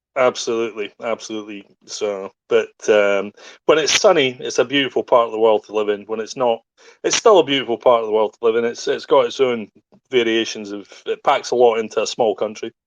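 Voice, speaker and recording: Speaking at a fairly quick pace with a Scottish accent, a man is heard in a dry, close sound with no echo against a quiet background. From Scottish Highlands, raised partly in Hong Kong. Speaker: podcast guest, crypto community figure. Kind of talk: casual chat.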